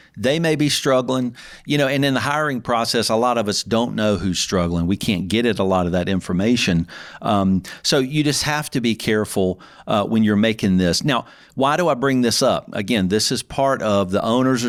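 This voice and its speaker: A man speaks with a Southern US accent, ordinary pitch variation and very even loudness. The recording is very clean, with a silent background. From US South. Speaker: podcast host and accountant. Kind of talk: solo podcast talk. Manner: fast.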